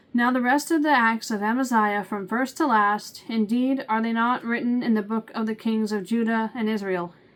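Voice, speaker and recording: A woman delivers her words in a deadpan tone at a fairly high pitch and a fairly quick pace. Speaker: bible reading channel host. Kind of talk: reading aloud.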